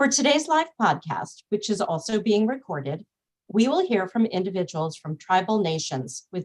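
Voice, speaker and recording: A woman's voice carries some breathiness as she talks at an even, moderate speed. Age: middle-aged. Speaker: nonprofit executive, event opener. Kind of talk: webinar welcome and housekeeping. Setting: Zoom webinar. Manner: formal.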